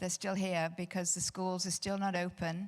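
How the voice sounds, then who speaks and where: On a very clean recording with a silent background, a woman with a British accent speaks at a fairly low pitch in a monotone, flat intonation. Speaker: real estate advisor panelist. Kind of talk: panel discussion. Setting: stage with audience.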